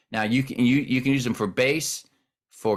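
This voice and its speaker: An ordinary speaking voice with ordinary pitch variation comes through in a very clean recording with a silent background. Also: man. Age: 60s. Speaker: worship pastor. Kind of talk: casual chat.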